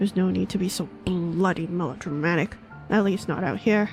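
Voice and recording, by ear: A woman uses a put-on, growling character voice at a fairly low pitch. She moves at a fairly quick pace with music in the background.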